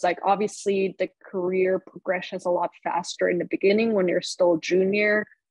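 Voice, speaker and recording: In a German accent, a woman speaks with fairly even intonation, the sound dry with no echo against a quiet background. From Germany, Munich; Germany. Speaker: marketing professional and podcast host; interview guest. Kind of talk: interview. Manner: filler-heavy, repeats words. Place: home room. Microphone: video call.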